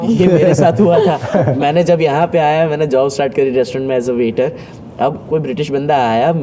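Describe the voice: With noticeable background noise behind him, a man talks at a moderate pace in a fairly high pitch with ordinary pitch variation.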